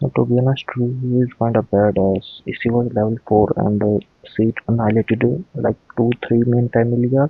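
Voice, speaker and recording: A man's medium-pitched voice at a moderate pace, fairly even intonation, music playing behind him. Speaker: anime reaction youtuber. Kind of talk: casual reaction commentary. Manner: halting, many fillers.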